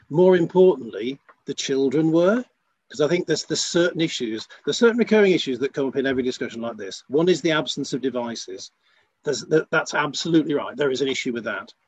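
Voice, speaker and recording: Pitch moves in an ordinary way for this man. He talks very fast. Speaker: school trust chief executive. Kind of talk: panel discussion. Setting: remote, on the line.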